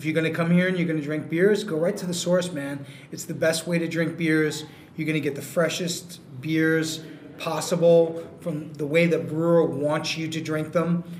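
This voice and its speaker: Against noticeable background noise, a man with a New York accent speaks at a moderate pace, his fairly high pitch held in a monotone, flat intonation. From New York City. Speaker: brewery co-founder. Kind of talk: casual chat. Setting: brewery tap room, remote mic.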